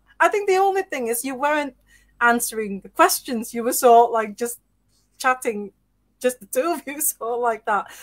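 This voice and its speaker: With lively intonation and a high pitch, a woman talks at a moderate pace, recorded dry and close with no echo. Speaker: podcast host. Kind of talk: casual interview. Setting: live-streamed video call. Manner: animated.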